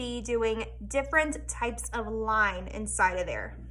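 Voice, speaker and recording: A woman's animated tone at a fairly slow pace, with audible room echo. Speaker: elementary school art teacher. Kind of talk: tutorial for young children. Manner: animated, encouraging teacher tone.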